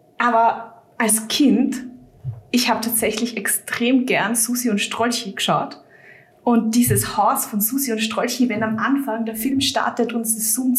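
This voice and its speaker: A woman speaks at a fairly high pitch and a fairly slow pace, her intonation monotone and flat. Noticeable background noise and audible room echo fill the recording. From Austria, Vienna. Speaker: fan website writer. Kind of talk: casual chat.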